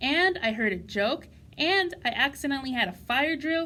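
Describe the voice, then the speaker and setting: A put-on character voice with a high pitch moves along at a moderate pace. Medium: read story. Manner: earnest, sensitive.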